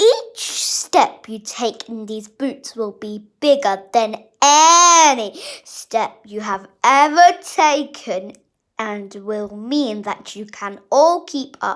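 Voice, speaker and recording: A woman's put-on character voice, high-pitched and very slow, on a very clean recording with a silent background. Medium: read story. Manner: jolly.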